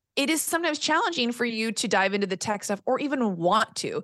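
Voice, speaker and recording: At a fairly quick pace, a woman speaks with lively intonation in a fairly high pitch, an ordinary speaking voice. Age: 40s. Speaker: business mentor and podcast coach. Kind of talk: casual interview chat.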